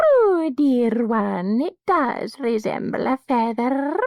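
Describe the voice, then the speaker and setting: Putting on a character voice, a soft-spoken man talks at an extremely high pitch with lively intonation, a very slow pace and a hissing quality. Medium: read story. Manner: gentle, quiet.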